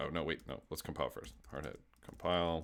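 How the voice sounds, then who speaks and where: A man mumbles at a moderate pace. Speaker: live-coding streamer and developer educator. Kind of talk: live coding stream. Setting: live stream. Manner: mumbling; casual, halting with fillers.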